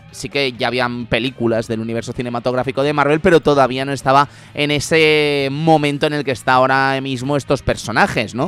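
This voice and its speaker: Noticeable background noise behind a man talking at a fairly quick pace and medium pitch, with hardly any pauses. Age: 30s. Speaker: radio host. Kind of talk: casual chat. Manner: animated.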